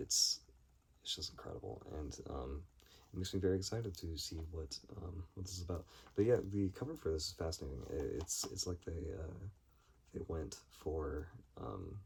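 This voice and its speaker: A man with a very deep, low pitch and vocal fry talks at a moderate pace with ordinary pitch variation and long, frequent pauses. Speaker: film collector video creator. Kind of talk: casual haul video monologue. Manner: halting with many fillers.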